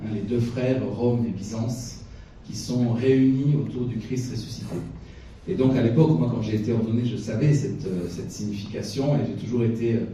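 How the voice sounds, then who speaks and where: Noticeable background noise and audible room echo fill the recording. The man's pitch varies in an ordinary way. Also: medium pitch for a man, moderate pace. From France. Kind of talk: lecture. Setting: chapel with audience. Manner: lively, animated; hesitant, many fillers.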